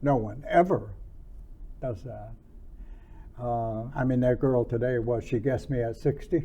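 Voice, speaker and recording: In a dark, mellow, somewhat breathy voice of medium pitch, a man talks at a fairly slow pace with ordinary pitch variation and long, frequent pauses. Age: 80s+. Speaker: former celebrity bodyguard and martial artist. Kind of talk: interview conversation. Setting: filmed interview in Helsinki. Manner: halting.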